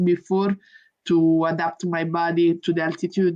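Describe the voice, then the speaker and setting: A woman with an Italian accent, fairly low pitch and monotone, flat intonation against a quiet background. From Italy. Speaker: professional boxer. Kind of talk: interview.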